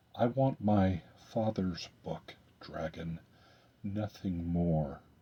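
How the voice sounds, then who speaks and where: At a very slow pace, the speaker puts on a character voice. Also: man, very deep, low pitch for a man. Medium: read story.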